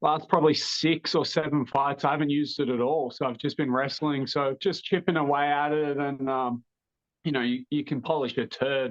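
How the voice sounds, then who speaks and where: With an Australian accent, a man speaks at a moderate pace in a fairly high pitch and monotone, flat intonation. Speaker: mixed martial arts fighter. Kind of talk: interview.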